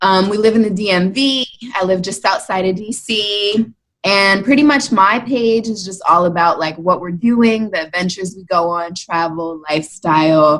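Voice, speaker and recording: This woman has a plain, everyday voice, medium pitch and an American accent. She talks at a moderate pace with ordinary pitch variation and big swings in loudness. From Maryland, US. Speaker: blogger and mom. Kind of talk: casual chat.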